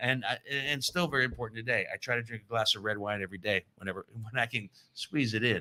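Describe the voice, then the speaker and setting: Bright and sharp in tone, a man with an American accent talks very fast at medium pitch. The recording is very clean and dry, close with no echo, over a silent background. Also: ordinary pitch variation. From US Midwest, Chicago suburbs and Columbus area. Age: 60s. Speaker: podcast guest. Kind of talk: casual chat. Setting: garage.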